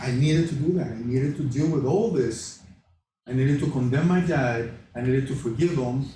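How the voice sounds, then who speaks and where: A man speaks at a fairly quick pace with a dark, mellow tone and a somewhat breathy voice. His loudness stays very even, and audible room echo surrounds him. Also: fairly high pitch for a man, ordinary pitch variation. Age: 60s. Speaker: class leader sharing personal testimony. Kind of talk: testimony.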